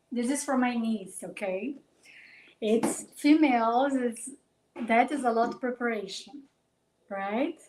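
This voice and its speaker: With a Brazilian accent, a woman speaks at a fairly slow pace, taking long, frequent pauses. Her pitch is high with ordinary variation. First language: Portuguese. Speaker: life coach. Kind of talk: live stream talk. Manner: halting.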